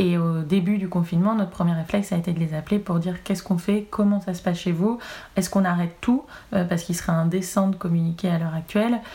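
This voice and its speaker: A woman talking at a very fast pace, her intonation fairly even. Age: 20s. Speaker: cannabis cosmetics brand representative. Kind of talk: interview.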